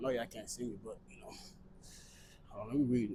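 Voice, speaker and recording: A man's dark, mellow tone comes across somewhat breathy, with audible room echo. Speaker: fitness vlogger. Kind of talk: casual vlog while working out. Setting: gym. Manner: talking low. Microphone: small portable mic, unsure if it picks up quiet speech.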